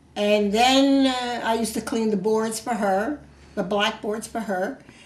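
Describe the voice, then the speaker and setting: The speech moves at a moderate pace with ordinary pitch variation. Noticeable background noise is present. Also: woman. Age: 80s+. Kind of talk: interview answer.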